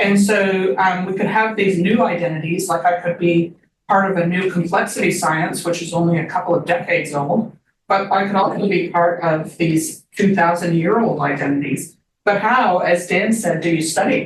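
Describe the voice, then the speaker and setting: In a normal speaking voice, a woman with a fairly low pitch speaks at a moderate pace and with fairly even intonation. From Canada. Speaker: social psychology professor. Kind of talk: academic seminar talk.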